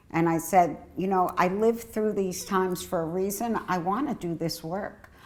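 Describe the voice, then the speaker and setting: Using an unremarkable speaking voice, a woman speaks at medium pitch and a moderate pace, with ordinary pitch variation and hardly any pauses. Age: 60s. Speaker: HIV health services director and advocate. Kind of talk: personal testimony.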